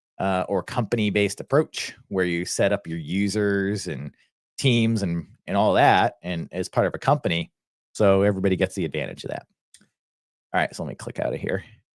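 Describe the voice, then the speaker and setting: A man with an American accent talks at a fairly quick pace and fairly low pitch, using ordinary pitch variation. The recording is very clean and dry, close with no echo and a silent background. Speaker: software educator. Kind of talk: live stream software tutorial. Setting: live stream screen share. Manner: casual, filler-heavy.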